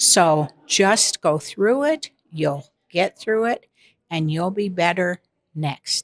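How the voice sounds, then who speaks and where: Dry and close with no echo, a woman's fairly low voice moves at a very slow pace. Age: 70s. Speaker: retirement home resident. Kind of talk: interview.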